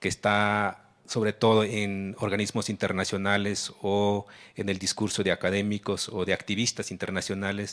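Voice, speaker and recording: Very clean and silent in the background, the recording holds a man's fairly low-pitched voice. He talks at a moderate pace. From Oaxaca, southern Mexico. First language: Ayuuk (Mixe) (speaking Spanish). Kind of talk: panel talk. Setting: forum with audience.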